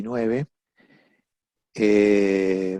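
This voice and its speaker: A man speaks with an Argentine accent. The sound is dry and close with no echo, over a quiet background. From Argentina. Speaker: family mediator. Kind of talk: interview. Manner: halting.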